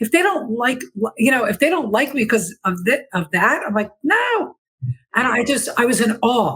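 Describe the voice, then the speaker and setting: Loud and high-pitched, a woman speaks at a moderate pace. Her intonation is lively. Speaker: life transition coach and podcaster. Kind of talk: podcast interview. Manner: excitable.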